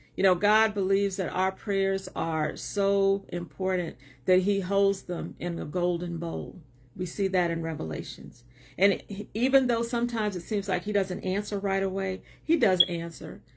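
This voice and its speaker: A woman talks in a plain, everyday voice at medium pitch and a moderate pace, with fairly even intonation. The recording is very clean, with a silent background. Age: 60s. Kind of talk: livestream talk. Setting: live video stream.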